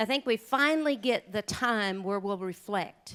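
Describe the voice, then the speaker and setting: A woman with an Oklahoma accent, recorded very cleanly against a silent background. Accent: Oklahoma Southern drawl. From southeastern Oklahoma. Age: 50s. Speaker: country singer and rancher speaking at charity luncheon. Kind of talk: speech to a luncheon audience, personal storytelling.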